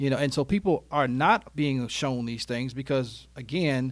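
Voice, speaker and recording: In a very clean recording with a silent background, a man with a fairly high pitch speaks at a fairly slow pace in an animated tone. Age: 40s. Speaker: retirement wealth coach and insurance business owner. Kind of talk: casual interview. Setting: studio.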